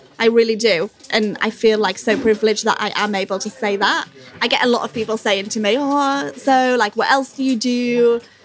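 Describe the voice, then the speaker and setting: A woman's fairly high-pitched voice over noticeable background noise. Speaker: restaurant front of house manager. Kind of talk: casual interview. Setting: busy restaurant. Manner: talkative.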